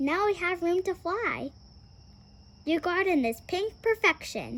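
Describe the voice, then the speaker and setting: Using a put-on character voice at an extremely high pitch, a woman speaks at a fairly slow pace. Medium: read story. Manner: sweet, cheerful.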